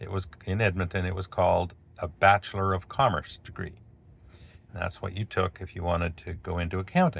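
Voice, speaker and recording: Very deep and low, a man's somewhat breathy voice carries a Canadian accent and fairly even intonation. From Canada, Alberta. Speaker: video blogger. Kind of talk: storytelling monologue. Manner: casual, with fillers.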